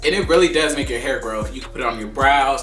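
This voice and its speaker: Medium-pitched man with ordinary pitch variation over noticeable background noise. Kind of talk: casual talk to camera, hair care tutorial and product review.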